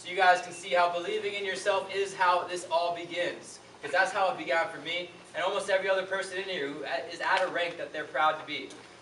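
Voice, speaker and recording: Over noticeable background noise and audible room echo, a man talks at a very fast pace in a high pitch. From Hawaii (Maui). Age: 20s. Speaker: network marketing motivational speaker. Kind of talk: motivational testimony speech.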